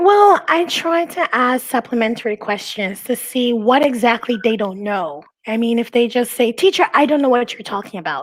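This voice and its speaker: A high-pitched woman talks at a moderate pace with very wide pitch swings and hardly any pauses. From Belize. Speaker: online English teacher. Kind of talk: casual interview chat.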